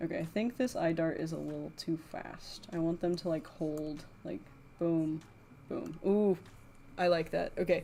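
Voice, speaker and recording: Speaking at a fairly slow pace with long, frequent pauses, a woman has a dark, mellow tone and a fairly low pitch. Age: 20s. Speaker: animator streamer. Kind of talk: casual livestream chat while animating. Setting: livestream at home. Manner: casual, filler-heavy.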